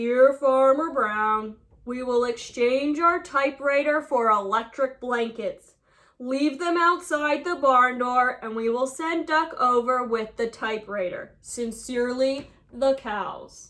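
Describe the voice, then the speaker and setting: A female-sounding put-on character voice, high in pitch. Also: fairly slow pace. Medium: read story.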